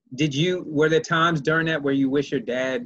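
A man in a normal speaking voice, pitched fairly high, moving at a moderate speed with ordinary pitch variation. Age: 30s. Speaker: podcast host and cancer survivor. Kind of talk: casual interview.

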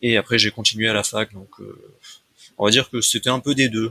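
Recorded dry and close with no echo, a man talks at a very fast pace. His pitch is medium and his intonation fairly even. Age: 20s. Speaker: computer science student and former substitute math teacher. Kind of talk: casual interview. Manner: halting.

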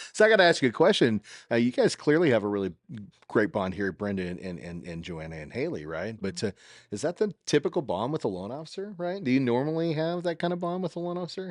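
A man races along at a very fast pace, his medium pitch making very wide swings and his loudness swinging widely too. The sound is dry and close with no echo, against a quiet background. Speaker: podcast host. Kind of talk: casual interview chat. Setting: filming at a title office, background noise.

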